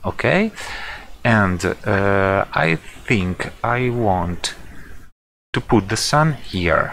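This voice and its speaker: A man with a non-native accent and a fairly low pitch. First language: not English. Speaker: software tutorial creator. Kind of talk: tutorial. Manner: halting, many fillers.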